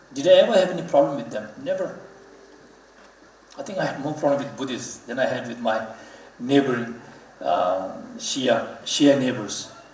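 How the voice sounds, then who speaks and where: A man speaks at a fairly high pitch with lively intonation, big swings in loudness and long, frequent pauses. Audible room echo and noticeable background noise fill the recording. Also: moderate pace. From Ladakh, India. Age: 30s. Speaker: Buddhist religious leader, guest speaker. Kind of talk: public talk. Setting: auditorium stage with audience.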